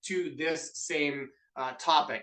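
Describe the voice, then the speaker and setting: In a Canadian accent, a man talks with an animated, bright, sharp tone at a fairly high pitch. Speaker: business coach. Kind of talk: webinar presentation. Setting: video call.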